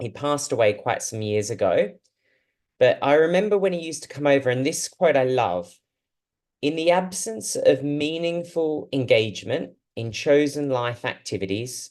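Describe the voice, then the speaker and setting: Lively in intonation and fairly high-pitched, a man speaks at a moderate pace with an Australian accent. The background is quiet. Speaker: speech therapist and researcher. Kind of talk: talk to a support group. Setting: video call. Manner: hesitant, with fillers.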